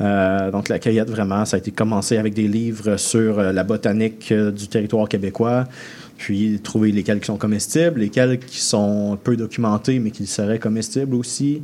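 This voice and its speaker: A man with a fairly low voice speaks at a moderate pace with fairly even intonation. Noticeable background noise runs underneath. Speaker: chef. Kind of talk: radio interview. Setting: radio studio.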